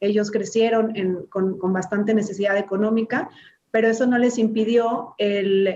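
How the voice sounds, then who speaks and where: A woman speaks in a dark, mellow tone at a fairly high pitch, her intonation monotone and flat. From Mexico, Cuernavaca, Morelos. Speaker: politician, government official. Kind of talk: interview. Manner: slow, halting.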